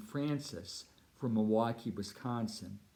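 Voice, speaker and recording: With an American accent, a man speaks in a dark, mellow tone at medium pitch and ordinary pitch variation. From Southern California (Orange County). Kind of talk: mission appeal talk. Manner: formal.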